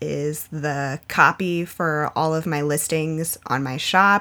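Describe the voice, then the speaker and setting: A woman speaks very slowly with a very deep, low pitch. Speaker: artist and podcast co-host. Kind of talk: casual chat.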